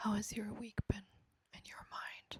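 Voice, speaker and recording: Someone whispers at a very slow pace. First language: not English. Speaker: ASMR creator. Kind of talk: ASMR talk. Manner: soft-spoken.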